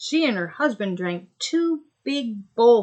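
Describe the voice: The speaker does plain reading aloud over a quiet background.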